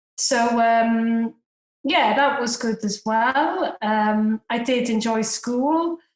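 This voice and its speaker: This woman has a Welsh accent. She speaks at a very slow pace. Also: ordinary pitch variation. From Wales, Cardiff. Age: 40s. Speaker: private investor. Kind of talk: podcast interview.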